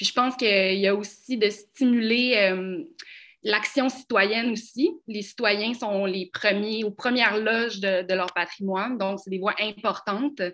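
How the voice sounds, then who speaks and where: Using an unremarkable speaking voice, a woman talks fairly slowly at a fairly high pitch with ordinary pitch variation. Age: young. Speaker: heritage conservation professional. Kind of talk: panel discussion.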